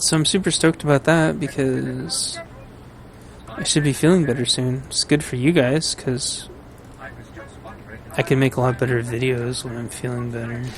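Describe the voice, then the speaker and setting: A man's medium-pitched voice at a moderate pace, ordinary pitch variation, long and frequent pauses, and noticeable background noise. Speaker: gaming streamer. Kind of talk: casual gameplay commentary. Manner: rambling, hesitant with fillers.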